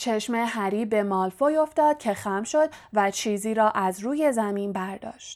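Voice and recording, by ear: A text read aloud in a natural voice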